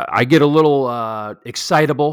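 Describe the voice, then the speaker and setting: A man's voice with lively intonation at a moderate pace, in a very clean recording with a silent background. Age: 40s. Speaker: real estate podcast host. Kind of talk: solo podcast tutorial.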